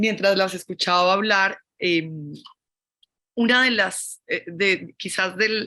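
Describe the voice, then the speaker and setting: Speaking very slowly with a Colombian accent, a woman uses a medium pitch, a bright, sharp tone and fairly even intonation. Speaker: fashion academic / critic. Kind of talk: panel discussion. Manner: halting.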